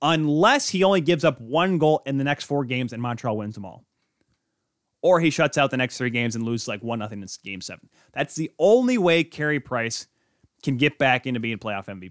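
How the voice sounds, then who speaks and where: In an ordinary speaking voice, a man with an American accent talks at a fairly quick pace with lively intonation and big swings in loudness, in a very clean recording with a silent background and a dry, close sound with no echo. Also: medium pitch for a man. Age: 20s. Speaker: sports podcast host. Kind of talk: casual sports talk show. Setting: studio, streamed live.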